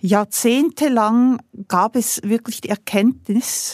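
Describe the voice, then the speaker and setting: A woman's unremarkable speaking voice, fairly high in pitch with fairly even intonation, in a dry, close sound with no echo. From Switzerland. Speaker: industrial CEO. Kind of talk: interview.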